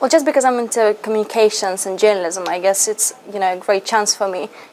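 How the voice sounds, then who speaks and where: With a Russian accent, a woman talks at a fairly quick pace over noticeable background noise. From Lithuania. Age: 20s. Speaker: university student, language ambassador. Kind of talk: interview answers.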